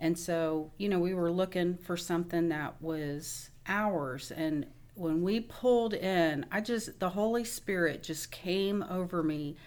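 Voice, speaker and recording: An unremarkable speaking voice, fairly slow, with hardly any pauses and ordinary pitch variation. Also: woman, fairly low pitch for a woman. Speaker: nurse, wife. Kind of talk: interview testimony.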